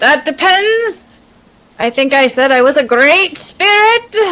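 Putting on a character voice, a woman speaks at a fairly slow pace in a high pitch. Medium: actual play. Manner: pompous and grandiose, like a wizard from a comedy film; petty, wheedling, impatient.

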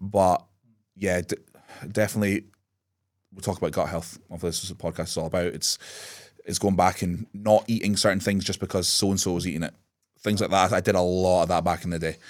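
A man with a very deep, low pitch talks at a very fast pace in a monotone, flat way on a very clean recording with a silent background. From Scotland, Aberdeen area. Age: 30s. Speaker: bodybuilder and coach. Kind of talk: casual interview.

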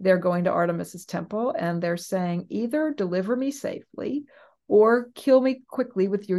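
Woman with a normal speaking voice and an American accent, lively intonation, quiet background. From US West Coast. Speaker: professor. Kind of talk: interview.

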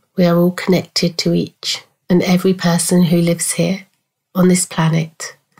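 A woman speaks with a somewhat breathy voice. Her tone is dark and mellow, and her pitch is fairly low. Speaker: spiritual coach. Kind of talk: guided meditation, soothing and unhurried, with long pauses between gentle instructions. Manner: slow; soft-spoken, calm and reassuring.

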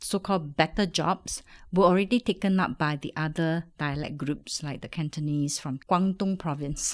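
A woman's normal speaking voice, fairly low in pitch with ordinary variation, at a fairly slow pace on a very clean recording with a silent background. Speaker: food researcher and lecturer. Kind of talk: interview.

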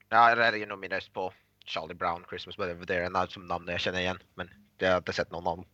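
A man talks at a very fast pace in a very deep, low pitch with a bright, sharp tone. His intonation is monotone and flat, and the background is quiet. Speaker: podcast co-host. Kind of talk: casual chat.

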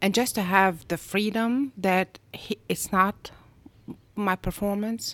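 At a very slow pace, a woman speaks with a medium pitch and fairly even intonation in a very clean recording with a silent background and a dry, close sound without echo. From Egypt. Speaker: doctor. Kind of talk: casual chat.

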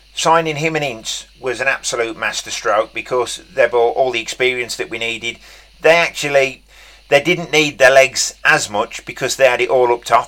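With a bright, sharp tone and medium pitch, a man speaks at a moderate pace with fairly even intonation. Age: 40s. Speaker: football podcast host. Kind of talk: casual chat. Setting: remote call via WhatsApp on an iPad.

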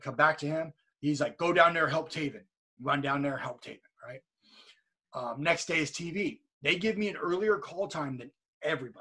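In a Californian accent, a man talks at a fairly quick pace with a fairly high pitch, an animated tone, and a bright, sharp quality. His pitch variation is ordinary, his loudness swings widely, and he leaves long, frequent pauses. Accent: General American (Californian). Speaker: professional wrestler. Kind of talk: casual interview chat. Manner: storytelling, animated.

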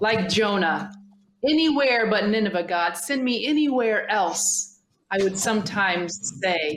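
In a plain, everyday voice, a woman at medium pitch talks at a fairly slow pace with lively intonation and very even loudness. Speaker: podcast host. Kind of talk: podcast conversation.

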